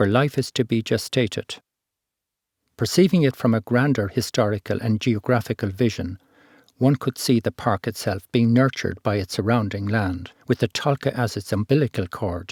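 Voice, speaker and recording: A man with an Irish accent at a moderate pace, in a very clean recording with a silent background and a dry, close sound with no echo. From Ireland. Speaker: architect and environmentalist. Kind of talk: art film narration. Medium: read story.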